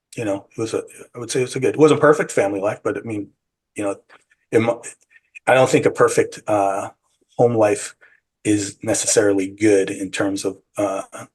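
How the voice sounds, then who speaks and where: A man with a fairly low pitch, somewhat breathy, at a fairly quick pace. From San Francisco, US. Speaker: psychedelic retreat guide and bakery owner. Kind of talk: interview. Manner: halting.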